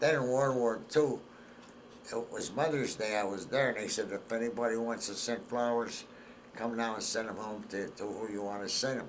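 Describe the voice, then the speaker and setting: A man with a northeastern Pennsylvania accent speaks at a medium pitch with fairly even intonation. Audible room echo surrounds his voice. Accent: northeastern Pennsylvania American. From northeastern Pennsylvania, Hazleton. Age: 80s+. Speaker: war veteran.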